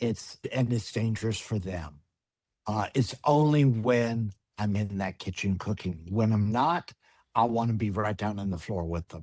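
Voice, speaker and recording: A man's unremarkable speaking voice, fairly low in pitch, with ordinary pitch variation and a fairly slow pace. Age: 60s. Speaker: personal chef. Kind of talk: webinar presentation.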